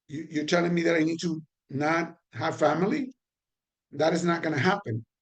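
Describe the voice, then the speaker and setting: Talking at a very fast pace, a man with a Puerto Rican accent speaks in a high voice with ordinary pitch variation. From Puerto Rico. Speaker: trainer on addiction and recovery. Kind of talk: online training lecture. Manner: conversational with fillers and repetitions.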